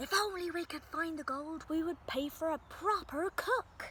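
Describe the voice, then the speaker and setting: Using a put-on character voice at an extremely high pitch, a woman talks at a moderate pace over clear background noise. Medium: read story.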